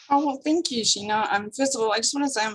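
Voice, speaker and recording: A somewhat breathy woman with a strong South African accent and ordinary pitch variation. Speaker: small business founder, graphic designer. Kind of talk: interview podcast.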